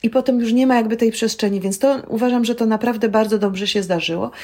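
A plain, everyday voice from a woman, fairly high in pitch, with fairly even intonation and a fairly quick pace. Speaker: film director and storytelling trainer. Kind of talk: interview.

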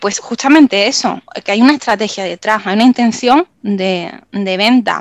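A woman speaks at a moderate pace with an Andalusian accent. Her intonation is lively, and the sound is dry and close with no echo. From Málaga, Andalusia, Spain. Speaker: copywriter. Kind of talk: interview. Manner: halting.

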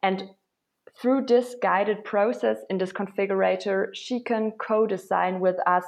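In a German accent, a woman speaks at medium pitch and a fairly slow pace with ordinary pitch variation. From Germany, Berlin. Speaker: startup founder. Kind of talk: interview.

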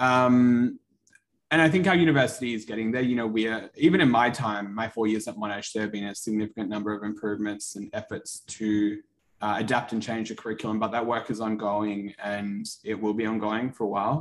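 A man with an Australian accent speaks at a medium pitch and a fairly quick pace. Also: ordinary pitch variation. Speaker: medical student. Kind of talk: interview.

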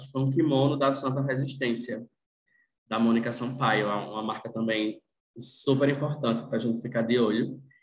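The delivery is monotone and flat. It moves along at a moderate pace. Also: man. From Rio Grande do Norte, Brazil (Northeast). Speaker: journalist and fashion content creator. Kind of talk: casual chat.

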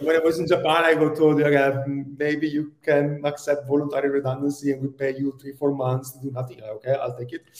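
A man with an Italian accent talks at a fairly quick pace, hardly pausing, in a fairly high, monotone, flat voice. His loudness swings a lot. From Italy. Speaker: tech executive. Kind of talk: interview.

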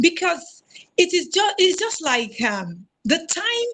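A woman with a Nigerian accent speaks with very wide pitch swings. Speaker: spiritual guest speaker. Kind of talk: panel discussion.

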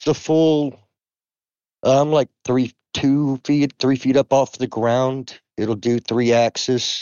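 A very slow, monotone, flat-voiced man at a medium pitch. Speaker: guest game player. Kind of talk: casual chat.

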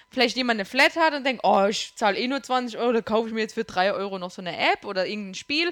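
A woman with a Bavarian accent talks at a very fast pace and fairly high pitch, with hardly any pauses. The sound is dry and close with no echo, and there is noticeable background noise. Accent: sounds Bavarian, like Munich area. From Kurpfalz, Germany. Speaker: gaming podcast guest. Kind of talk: casual chat.

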